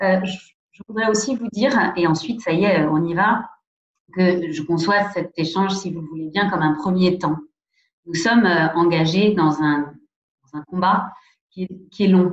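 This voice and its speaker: A woman speaks at a medium pitch with ordinary pitch variation. She leaves long, frequent pauses. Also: fairly slow pace. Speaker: president of a national anti-abuse commission. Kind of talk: lecture. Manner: hesitant, many fillers.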